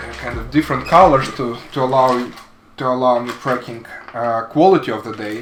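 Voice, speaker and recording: A man with a non-native accent speaks at a medium pitch with ordinary pitch variation and a fairly quick pace. His loudness swings widely, with audible room echo and noticeable background noise. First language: not English. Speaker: woodworking hobbyist / vlogger. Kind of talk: casual product demo vlog. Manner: halting, many fillers and repeats.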